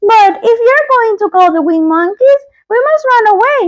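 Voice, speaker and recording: Squeaky and pitched extremely high, a woman performs a put-on character voice. Her pace stays moderate. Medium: read story.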